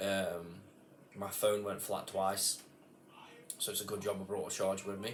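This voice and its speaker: Light background noise accompanies a man talking at a fairly quick pace with a fairly low pitch. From England. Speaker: metal detectorist. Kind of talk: casual talk to camera, product review. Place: home room. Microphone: phone near.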